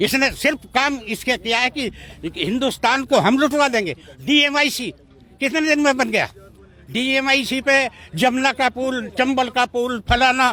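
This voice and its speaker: A man's raised, projected voice sits at extremely high pitch with a bright, sharp tone. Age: 70s. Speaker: farmers' union leader. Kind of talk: political interview.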